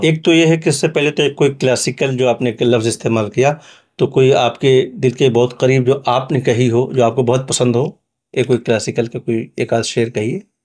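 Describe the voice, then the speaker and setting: A man's normal speaking voice, medium in pitch, with fairly even intonation and a moderate pace. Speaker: journalist. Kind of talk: podcast interview host.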